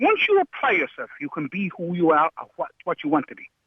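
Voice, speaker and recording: With an Irish accent, a man talks at a moderate pace in an animated tone, his pitch swinging very widely. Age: 50s. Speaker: caller. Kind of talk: heated debate.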